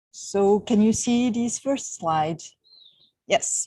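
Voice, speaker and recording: Recorded dry and close with no echo, a woman talks at a fairly slow pace and fairly high pitch in a somewhat breathy, dark, mellow tone. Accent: French. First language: French. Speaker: university researcher. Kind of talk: online lecture. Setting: outdoors on a terrace, video call.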